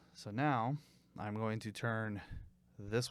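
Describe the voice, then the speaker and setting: A man's medium-pitched voice comes across on a very clean recording with a silent background. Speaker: YouTuber reviewing podcast microphones. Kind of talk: unboxing tutorial. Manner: casual, animated.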